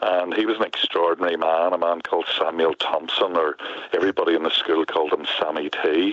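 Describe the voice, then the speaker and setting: There is noticeable background noise as a man with a Northern Irish accent speaks at a very even loudness. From Northern Ireland, near Belfast. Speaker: poet. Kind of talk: interview. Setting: front porch, remote call.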